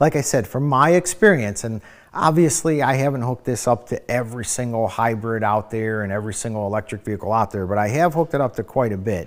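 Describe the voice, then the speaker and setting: Speaking very fast with hardly any pauses, a man with an American accent uses a medium pitch and lively intonation. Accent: American Midwest accent, noticed by a viewer. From Ohio. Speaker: EV trainer. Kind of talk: webinar Q&A. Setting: online webinar.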